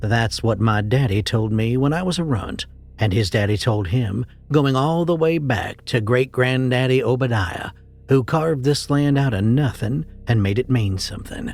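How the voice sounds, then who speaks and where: A man talks with a normal speaking voice at medium pitch. His pace is moderate and his pitch varies in an ordinary way. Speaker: horror story narrator. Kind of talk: horror story narration.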